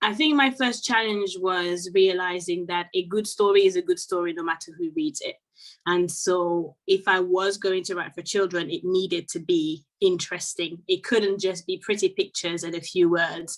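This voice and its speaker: A woman with a French accent speaks at a medium pitch with hardly any pauses. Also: ordinary pitch variation, moderate pace. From Côte d'Ivoire and France. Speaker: children's author and French teacher. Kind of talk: interview. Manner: hesitant, with fillers and repetitions.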